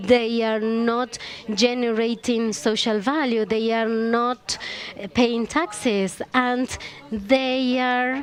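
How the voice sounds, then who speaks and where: A woman with a Chilean accent speaks at a very slow pace and fairly high pitch, her intonation fairly even, over noticeable background noise. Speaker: panelist. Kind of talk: panel discussion.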